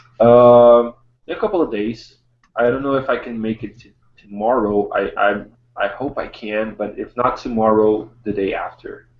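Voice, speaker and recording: A man speaks at a moderate pace and a medium pitch. His intonation stays fairly even while his loudness swings widely. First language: not English. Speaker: art streamer. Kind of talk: casual chat.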